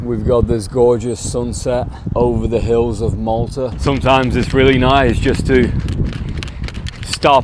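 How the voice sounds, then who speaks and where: A man speaks at a medium pitch in a flat monotone, fairly slowly and with long, frequent pauses, over noticeable background noise and audible room echo. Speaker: travel vlogger. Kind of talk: travel vlog narration. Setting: outdoors. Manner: shaky, almost stuttering.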